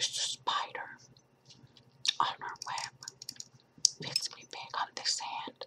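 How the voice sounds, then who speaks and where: A woman whispers. She speaks at a very slow pace. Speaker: ASMR creator. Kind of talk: ASMR whispered show and tell. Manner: whispered; chewing gum while talking.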